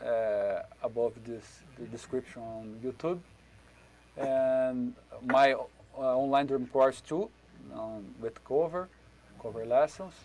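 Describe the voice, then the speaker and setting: Against noticeable background noise, a man with a Brazilian accent speaks at medium pitch and a very slow pace, with long, frequent pauses, big swings in loudness and ordinary pitch variation. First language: Portuguese. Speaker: drum teacher. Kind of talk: online workshop. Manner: halting.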